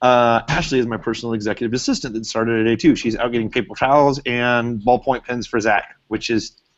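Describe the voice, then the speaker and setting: Here a man speaks at a medium pitch and a fairly quick pace. His intonation stays fairly even. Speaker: social media marketing trainer, business owner. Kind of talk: live webinar class. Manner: loud; casual, many fillers.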